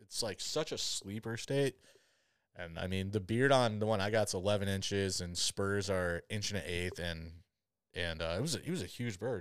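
An ordinary speaking voice from a man, fairly low in pitch, at a moderate pace in a very clean recording with a silent background. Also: ordinary pitch variation. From Michigan, US. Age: 30s. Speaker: podcast host, hunter. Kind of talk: casual chat.

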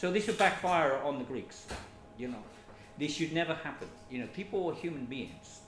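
Noticeable background noise and audible room echo surround a man with a fairly high pitch. His intonation is lively, and he takes long, frequent pauses. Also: moderate pace. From Britain. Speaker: refugee aid worker. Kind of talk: interview. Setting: kitchen.

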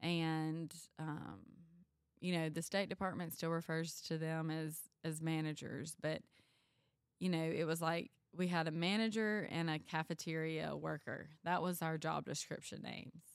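In a Mississippi accent, a woman speaks at a fairly low pitch. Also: moderate pace. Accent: Mississippi Southern. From US South. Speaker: school nutrition director. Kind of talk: casual chat. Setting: in person.

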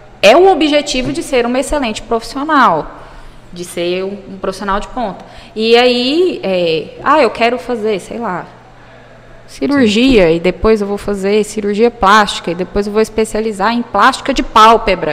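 Lively intonation from a woman with a fairly high voice, at a moderate pace, amid noticeable background noise. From Brazil, interior of Goiás (Jataí). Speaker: pediatrician. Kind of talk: interview. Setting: recorded at a medical school event.

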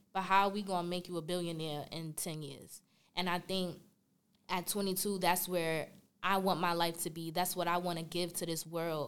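In a New York accent, a woman speaks at a moderate pace with a fairly low pitch and monotone, flat intonation. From Brooklyn, New York. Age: 20s. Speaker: college senior. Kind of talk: casual interview.

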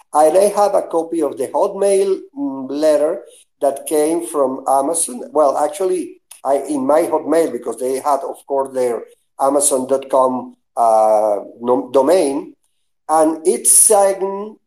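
A man speaks at a very slow pace with a dark, mellow tone. His pitch is fairly high, with ordinary pitch variation. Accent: Spanish. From Venezuela. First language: Spanish. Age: 60s. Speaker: web pioneer. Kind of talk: casual chat.

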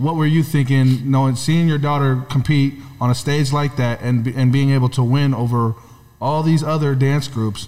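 A man's fairly high voice with an American accent, flat monotone intonation, very even loudness and a moderate pace, over noticeable background noise. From California. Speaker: podcast co-host. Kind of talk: casual interview.

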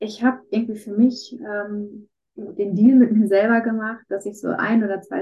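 Her voice is a normal speaking voice, a woman's, pitched fairly high with fairly even intonation. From Ruhr area, Germany. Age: 20s. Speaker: student with chronic illnesses. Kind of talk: interview about personal illness.

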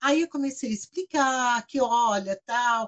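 A woman speaks in an animated tone at a fairly slow pace. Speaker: bank manager. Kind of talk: casual chat.

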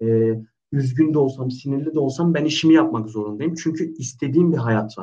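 A man's an ordinary speaking voice, moderate in pace, with lively intonation. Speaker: personal trainer. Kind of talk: casual chat. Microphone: unstable internet connection.

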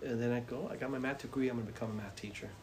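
A man talks at a medium pitch. Audible room echo and noticeable background noise are present. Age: 60s. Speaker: high school principal. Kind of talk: interview answers. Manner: animated.

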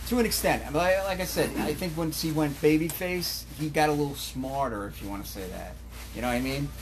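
Noticeable background noise runs under speech delivered very fast. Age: 40s. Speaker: indie wrestler. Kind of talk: casual interview.

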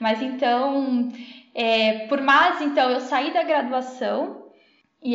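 A woman's high-pitched voice with fairly even intonation, amid noticeable background noise and audible room echo. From interior of São Paulo state, Brazil. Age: 20s. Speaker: food engineer, dairy quality analyst. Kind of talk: interview.

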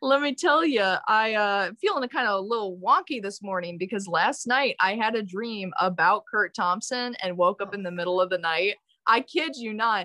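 A woman uses a plain, everyday voice with an American accent and a fairly high pitch. Her intonation is lively and her pace moderate. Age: young. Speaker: music student. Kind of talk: casual chat.

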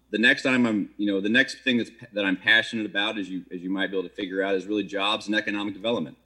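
Speaking at a very fast pace, a man with an American accent keeps a fairly low pitch and fairly even intonation. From Maryland. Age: 40s. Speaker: city council candidate, restaurateur. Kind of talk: candidate forum answers.

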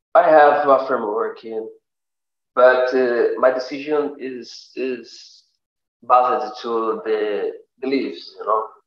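Amid audible room echo, a man with a Portuguese accent and medium pitch speaks at a very slow pace with fairly even intonation, big swings in loudness and long, frequent pauses. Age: 30s. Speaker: guest. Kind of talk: casual chat. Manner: halting.

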